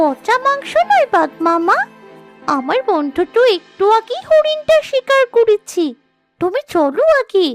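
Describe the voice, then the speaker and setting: With faint music in the background, a cartoonish character voice moves at a fairly slow pace in an extremely high pitch with very wide pitch swings. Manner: quick, persuasive.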